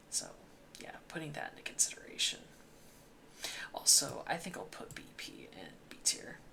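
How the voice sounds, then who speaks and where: Whispering comes at a moderate pace with long, frequent pauses over noticeable background noise. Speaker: gaming YouTuber. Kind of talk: casual commentary monologue. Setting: home recording late at night. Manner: quiet, mellow volume.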